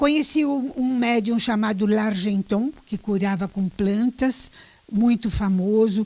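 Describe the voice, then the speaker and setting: A woman talks at a fairly slow pace. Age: 70s. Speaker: retired journalist and teacher. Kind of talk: interview. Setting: radio.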